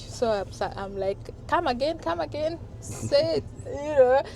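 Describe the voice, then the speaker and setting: With a Kenyan accent, a woman talks against noticeable background noise. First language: Swahili / Kalenjin. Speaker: vlogger. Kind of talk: casual chat. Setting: in a car. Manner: soft-spoken; slow.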